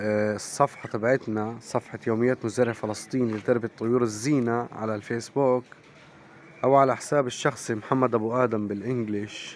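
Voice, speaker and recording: The voice is a man's, pitched in the middle range. It stays flat and monotone throughout. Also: moderate pace. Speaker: poultry farmer and vlogger. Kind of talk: casual vlog talk to viewers. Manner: hesitant with fillers.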